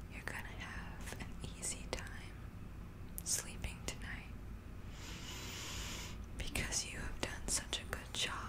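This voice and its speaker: Soft-spoken, a woman talks with long, frequent pauses over loud background noise. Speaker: relaxation video host. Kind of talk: soft soothing sleep talk. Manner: soft, slow, soothing ASMR voice. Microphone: studio mic.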